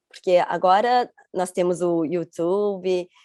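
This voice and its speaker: Dry and close with no echo, a woman's voice has a dark, mellow tone, medium pitch and ordinary pitch variation. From Rio de Janeiro, Brazil until 11, then Chiba, Japan. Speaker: interview guest. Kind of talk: interview. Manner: halting.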